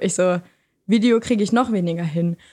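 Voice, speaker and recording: On a very clean recording with a silent background, a woman with a dark, mellow tone speaks at a fairly quick pace with ordinary pitch variation. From Lower Saxony, Germany. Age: 20s. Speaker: student and podcaster. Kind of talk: casual chat.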